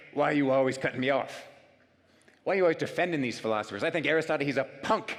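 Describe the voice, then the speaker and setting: A man's booming, loud, put-on character voice, fairly high in pitch, very fast, with ordinary pitch variation. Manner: challenging, insolent.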